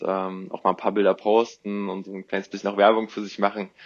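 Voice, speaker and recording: This man has a fairly low pitch and monotone, flat intonation. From Thuringia, Germany (Jena). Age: 20s. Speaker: product designer and photographer. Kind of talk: interview. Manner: hesitant, many filler sounds.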